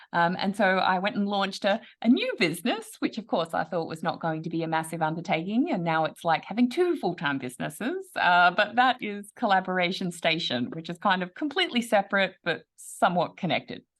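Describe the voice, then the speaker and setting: A woman with an Australian accent, medium pitch and lively intonation, fairly quick and with hardly any pauses. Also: quiet background. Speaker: online business coach. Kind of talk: podcast interview.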